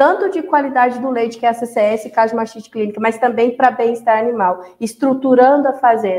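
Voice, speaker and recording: High female voice with ordinary pitch variation, at a moderate speed. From Brazil, Goiás (Nova América). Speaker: animal scientist and dairy consultant. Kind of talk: interview.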